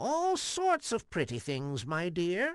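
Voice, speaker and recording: The put-on character voice sits at a middle pitch and moves at a fairly slow pace. The background is quiet. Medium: read story. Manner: falsely sweet, coaxing.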